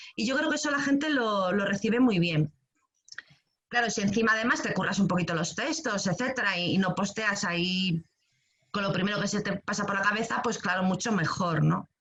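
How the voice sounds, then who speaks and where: Lively intonation and a fairly quick pace from a woman at medium pitch. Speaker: creative writing workshop teacher. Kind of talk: online workshop talk. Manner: fast; hesitant, many fillers.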